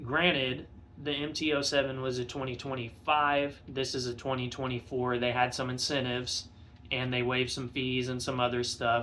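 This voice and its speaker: A man talks at a moderate pace and medium pitch, in a bright, sharp tone. His intonation is monotone and flat, with audible room echo around him. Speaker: motorcycle vlogger. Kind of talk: casual vlog review. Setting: home garage. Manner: halting, many fillers. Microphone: phone recording.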